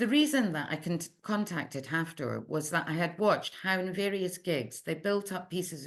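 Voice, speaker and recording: Speaking with an Edinburgh accent, a woman has a fairly low pitch and ordinary pitch variation. Her pace is fairly slow, over a quiet background. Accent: Scottish (Edinburgh). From Scotland, Edinburgh. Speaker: literary translator. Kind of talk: research seminar talk, read from prepared text. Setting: online seminar. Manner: measured, self-correcting at times.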